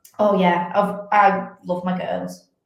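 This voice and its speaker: A woman speaks in a northern English accent with medium pitch and a somewhat breathy voice. Audible room echo surrounds her. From northern England, Wigan. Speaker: fitness athlete and coach. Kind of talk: podcast interview.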